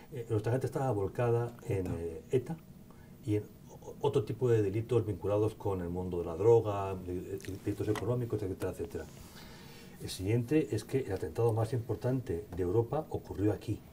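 A man's dark, mellow, somewhat breathy voice at a fairly low pitch, fairly quick pace and ordinary pitch variation, over light background noise. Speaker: event moderator. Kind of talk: Q&A moderation. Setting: conference hall with audience. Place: hall. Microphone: podium.

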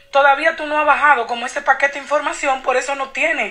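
A woman's voice is raised and projected. Her pitch is high. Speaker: psychic channeler. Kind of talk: casual chat. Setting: phone call.

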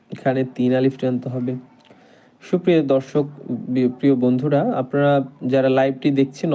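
Fairly even intonation marks a man's voice, which has a dark, mellow tone. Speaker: Quran teacher. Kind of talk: online Quran class. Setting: live stream. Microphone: network problems.

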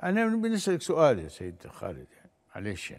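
A man with a Libyan accent moves at a moderate pace while his pitch swings very widely. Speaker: lawyer and former politician; lawyer, former politician. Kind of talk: interview testimony. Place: studio.

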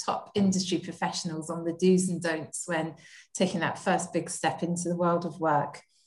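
A woman speaks in a somewhat breathy voice at fairly low pitch, keeping a moderate pace and fairly even intonation over a quiet background. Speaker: fashion industry education head, event moderator. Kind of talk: webinar moderation. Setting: video call. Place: kitchen. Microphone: webcam.

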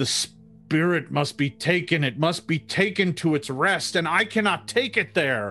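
In a put-on character voice, a man talks at a moderate pace with fairly high pitch, lively intonation and a strained edge, music playing in the background. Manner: strained, through gritted teeth.

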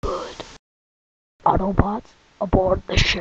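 In a raspy, put-on character voice at a middle pitch, the speaker moves at a fairly slow pace. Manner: calm, authoritative.

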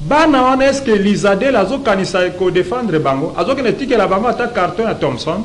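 With lively intonation and very even loudness, a man talks at a moderate pace in a high voice over light background noise. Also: hardly any pauses. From DR Congo. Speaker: pastor. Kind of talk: talk show interview; talk show commentary. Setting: studio. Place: studio. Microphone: lapel.

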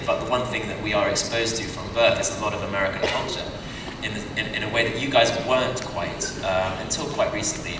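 A man talks at a very fast pace. Noticeable background noise and audible room echo are present. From Britain. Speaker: actor. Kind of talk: convention panel answer. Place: hall.

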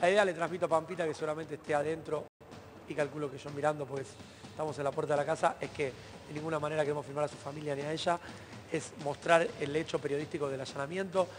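A man talking very fast in a monotone, flat delivery, with light background noise. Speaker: TV field reporter. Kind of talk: live news commentary. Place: street.

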